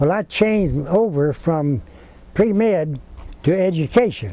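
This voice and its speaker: A man with a Texan accent speaks at a fairly slow pace in a high pitch. His tone is dark and mellow, and his intonation is lively. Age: 80s+. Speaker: retired school teacher. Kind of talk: interview answer.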